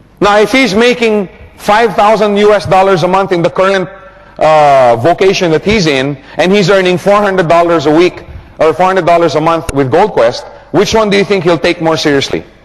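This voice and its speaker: Over noticeable background noise, a man speaks at a fairly quick pace and a high pitch. His tone is animated and his intonation lively. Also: very even loudness. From Philippines. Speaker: network marketing trainer. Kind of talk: training seminar.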